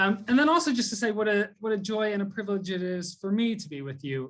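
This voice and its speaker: Over a quiet background, a man talks with an American accent. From US (Texas, Atlanta, Boston). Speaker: theology tutor. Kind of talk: conversation / talk on theology. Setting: video call. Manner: many fillers, hesitant.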